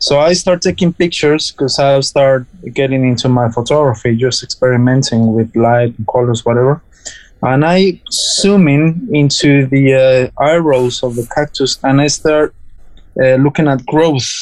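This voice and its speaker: A man's fairly high voice with a Spanish accent, ordinary pitch variation and a moderate pace. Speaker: cactus grower and chef. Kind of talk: interview. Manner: halting.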